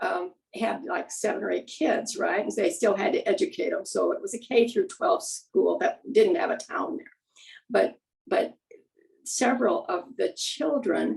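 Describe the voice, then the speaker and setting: Fairly high in pitch and showing vocal fry, a woman speaks fairly slowly with very wide pitch swings. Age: 80s+. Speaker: meeting attendee. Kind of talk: casual chat. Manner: halting.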